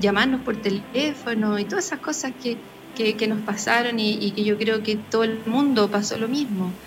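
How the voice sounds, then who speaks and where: There is noticeable background noise and audible room echo as a woman talks in a fairly high pitch with ordinary pitch variation. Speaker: parish communicator. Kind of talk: live radio interview.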